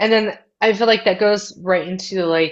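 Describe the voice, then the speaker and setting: This is an ordinary speaking voice. It moves at a moderate pace with fairly even intonation. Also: woman. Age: 30s. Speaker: podcast co-host. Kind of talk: casual chat.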